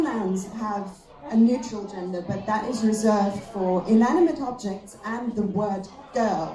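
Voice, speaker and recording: A woman with a fairly high pitch is heard with audible room echo and noticeable background noise. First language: German. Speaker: comedian. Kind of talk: stand-up.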